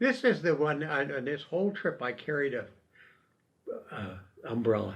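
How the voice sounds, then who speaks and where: Very wide pitch swings mark this man's fairly high, somewhat breathy voice. He speaks with an American accent. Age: 90s. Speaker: retired military officer. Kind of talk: storytelling interview. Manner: halting.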